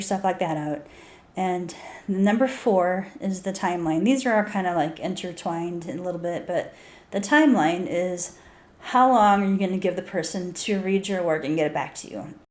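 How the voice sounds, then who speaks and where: A woman talks at a moderate pace and a medium pitch, with ordinary pitch variation. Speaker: author and video blogger. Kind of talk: casual tips talk to camera. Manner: halting, repeats words.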